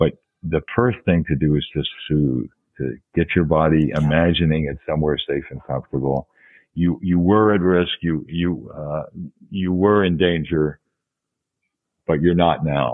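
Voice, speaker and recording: At a fairly slow pace, a man speaks with very deep, low pitch and ordinary pitch variation. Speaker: professor and hypnosis physician. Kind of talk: interview.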